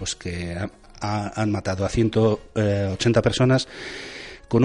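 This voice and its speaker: A man with a plain, everyday voice speaks at a fairly low pitch with fairly even intonation. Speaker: radio host. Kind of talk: casual news commentary.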